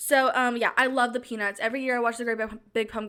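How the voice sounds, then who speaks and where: Very fast speech delivered in a flat, monotone intonation. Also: woman, high pitch for a woman. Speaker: video creator. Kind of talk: casual, chatty. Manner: fast talker.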